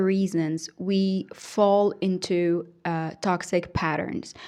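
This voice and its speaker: On a very clean recording with a silent background, a woman speaks at a medium pitch. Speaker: hypnotherapist and coach. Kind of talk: casual vlog monologue. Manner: slow; hesitant, many fillers.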